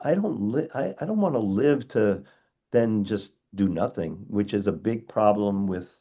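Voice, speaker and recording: Against a quiet background, a man speaks in a dark, mellow tone at a fairly low pitch with ordinary pitch variation. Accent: American. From US Northeast (Long Island, New York). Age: 60s. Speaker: dentist and educator. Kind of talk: interview conversation. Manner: halting, repetitive starts.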